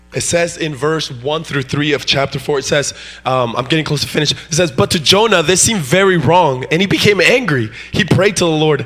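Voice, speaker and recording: A man speaks at a fairly slow pace in an animated tone with lively intonation. Noticeable background noise is present. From Mexico, moved to US in fifth grade. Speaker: guest preacher. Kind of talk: sermon. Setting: church.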